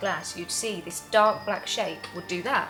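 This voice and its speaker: A woman talks at a medium pitch with ordinary pitch variation. Music plays behind her. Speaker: cabaret and singing performer. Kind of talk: ghost story told casually, recounting a family tale. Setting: told at a pub.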